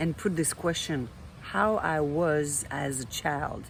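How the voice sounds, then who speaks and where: A woman's very deep, low voice with a French accent and fairly even intonation. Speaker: life coach. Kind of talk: vlog monologue. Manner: hesitant, with fillers.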